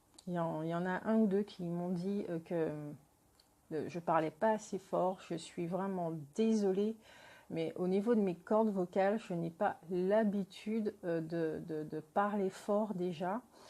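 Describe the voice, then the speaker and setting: A woman speaks very slowly at a medium pitch in a dark, mellow tone. The recording is very clean, with a silent background. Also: fairly even intonation. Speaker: tarot card reader. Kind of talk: tarot reading. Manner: halting, many hesitations. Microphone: poor sound quality.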